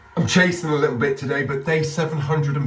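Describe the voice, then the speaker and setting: Fairly quick speech from a man, with noticeable background noise throughout. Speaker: company founder. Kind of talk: casual talk to camera.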